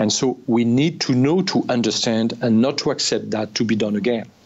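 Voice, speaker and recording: A man with a French accent talks at a medium pitch and a moderate pace. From France. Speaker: former army officer. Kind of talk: interview. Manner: halting.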